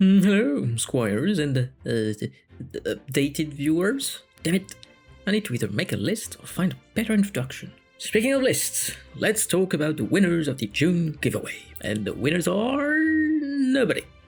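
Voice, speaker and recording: A man speaks in a high pitch with very wide swings at a moderate pace, music playing in the background. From France. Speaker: fantasy storyteller. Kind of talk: casual channel update talk.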